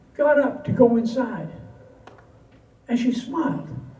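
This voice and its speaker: A man's voice, pitched extremely high, competes with noticeable background noise. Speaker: cowboy poet. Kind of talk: poetry reading. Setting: live audience.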